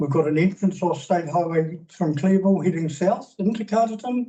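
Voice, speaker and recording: In a New Zealand accent, a man with a high voice and a dark, mellow tone speaks at a moderate pace with ordinary pitch variation. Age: 60s. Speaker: public submitter, businessman. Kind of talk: public submission at council hearing. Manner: halting.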